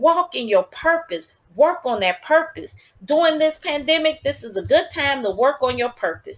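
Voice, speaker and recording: This woman has a high pitch and an animated tone. Her pitch swings very widely, and she keeps a moderate pace. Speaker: podcast host and author. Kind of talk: motivational talk.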